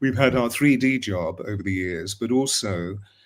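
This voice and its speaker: With an English accent, a man speaks in a lively intonation. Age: 70s. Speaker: voice coach and spiritual author. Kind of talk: casual chat.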